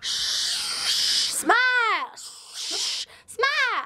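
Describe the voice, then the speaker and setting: This is a put-on character voice at an extremely high pitch. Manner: coaxing, pressuring.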